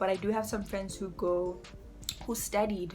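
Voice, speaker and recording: A woman with an unremarkable speaking voice talks at a medium pitch. Her intonation is fairly even. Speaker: youtuber and international student in Canada. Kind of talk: tutorial. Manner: casual, with frequent um fillers.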